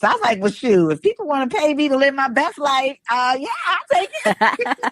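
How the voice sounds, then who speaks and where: Animated in tone, a woman with a New York accent speaks at a high pitch with very wide pitch swings, recorded with a dry, close sound and no echo. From New York, Brooklyn. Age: 50s. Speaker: retired police officer turned fishing influencer. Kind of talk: interview. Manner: fast.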